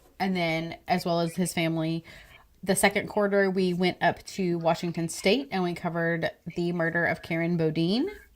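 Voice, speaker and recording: With a Texan accent, a woman talks at a moderate pace in a fairly low voice, keeping her intonation fairly even. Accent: Texan accent (self-described as horrible). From Texas. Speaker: true crime podcast co-host. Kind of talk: casual live-stream chat. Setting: live stream video call.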